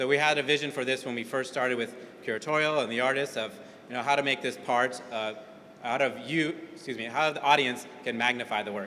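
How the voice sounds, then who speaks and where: A man talks at a fairly quick pace with a medium pitch and fairly even intonation. It is a normal speaking voice. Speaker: museum education director. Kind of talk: event welcome speech.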